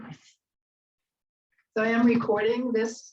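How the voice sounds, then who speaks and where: At a moderate pace, a woman with a New England accent speaks in a somewhat breathy voice. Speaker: yoga instructor. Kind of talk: guided yoga class. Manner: calm, gentle instruction.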